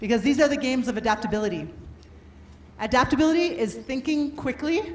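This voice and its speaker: Loud and animated, a woman talks very fast with a Canadian accent, a high pitch and very wide pitch swings, amid noticeable background noise and audible room echo. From Canada. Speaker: workshop speaker on adaptability. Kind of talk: motivational talk. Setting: stage with audience and microphone.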